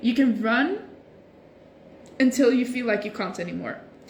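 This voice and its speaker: She speaks at a moderate pace. This woman's pitch is high. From Norway and Sweden. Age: 20s. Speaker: social media creator. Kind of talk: casual livestream chat. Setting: Instagram live stream. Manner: casual, hesitant with fillers.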